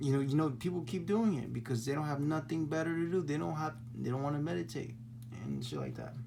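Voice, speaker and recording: With audible room echo, a somewhat breathy man speaks at a very fast pace. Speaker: spiritual vlogger. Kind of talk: casual monologue. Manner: halting, repetitive; animated.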